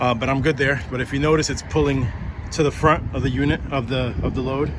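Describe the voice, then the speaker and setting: Over noticeable background noise and audible room echo, a man with a medium pitch talks at a fairly quick pace. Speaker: hotshot truck driver and trucking vlogger. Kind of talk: casual vlog tutorial. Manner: halting with fillers and repeats; fast.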